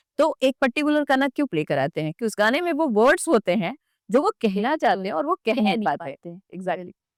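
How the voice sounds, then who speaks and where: A woman talks at a moderate pace with hardly any pauses, her fairly high voice making very wide pitch swings. The recording is very clean with a silent background and sounds dry and close, with no echo. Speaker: radio jockey. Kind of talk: podcast interview answer.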